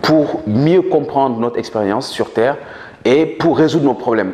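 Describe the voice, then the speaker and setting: Through noticeable background noise, a man talks at a fairly quick pace with ordinary pitch variation. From Senegal. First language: Manjak (speaking French). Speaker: author and politician. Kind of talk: interview. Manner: hesitant with fillers.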